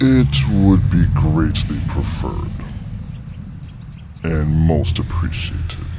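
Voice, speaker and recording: A man uses a put-on character voice, very deep and low, at a very slow pace with long, frequent pauses. Clear background noise runs behind him. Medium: audio drama. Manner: formal, courteous.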